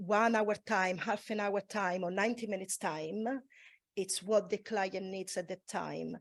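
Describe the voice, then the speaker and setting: At a fairly slow pace, a woman with a non-native accent speaks at a medium pitch with fairly even intonation. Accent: foreign. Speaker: massage therapist. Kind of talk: panel discussion.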